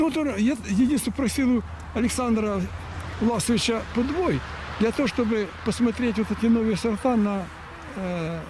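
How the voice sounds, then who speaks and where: The speaker pauses long and often, with ordinary pitch variation. Noticeable background noise sits behind the voice. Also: man. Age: 60s. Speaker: fruit-growing researcher. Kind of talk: casual chat.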